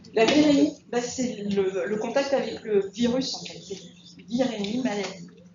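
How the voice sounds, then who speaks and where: A woman's fairly high pitch with ordinary pitch variation, at a fairly slow pace with big swings in loudness, amid audible room echo and noticeable background noise. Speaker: nursing school instructor. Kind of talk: lecture.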